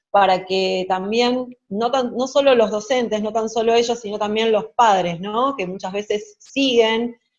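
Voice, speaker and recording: A woman speaks in a Rioplatense accent. Her pitch is fairly high, with ordinary variation. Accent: Argentine Spanish (rioplatense). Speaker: interviewer, teacher. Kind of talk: interview.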